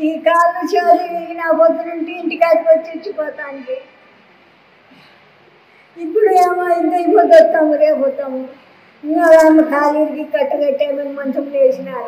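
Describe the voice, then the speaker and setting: A woman speaks at an extremely high pitch with ordinary pitch variation. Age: 80s+. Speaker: pensioner. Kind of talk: interview answer.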